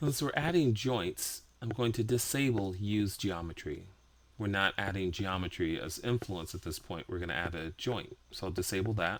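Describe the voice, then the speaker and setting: A man speaks with a plain, everyday voice at a moderate pace. His pitch is fairly low and his intonation lively. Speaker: 3D rigging instructor. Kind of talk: software tutorial.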